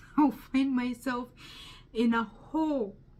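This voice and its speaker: A woman with a strong Ugandan accent speaks at a high pitch with ordinary pitch variation. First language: Luganda. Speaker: testimony speaker. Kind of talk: testimony. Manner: halting.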